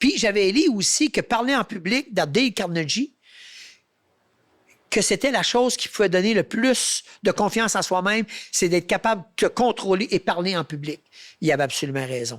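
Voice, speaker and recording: Set against a very clean recording with a silent background, a man with a high pitch talks at a moderate pace in an animated tone, his pitch swinging very widely between long, frequent pauses. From Quebec. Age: 60s. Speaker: hunter and public speaker. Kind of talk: interview conversation.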